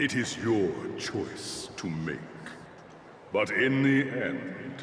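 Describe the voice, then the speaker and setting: Against clear background noise and a clear echo, a man speaks very slowly in a put-on character voice. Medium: video game. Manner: solemn, measured, oracular.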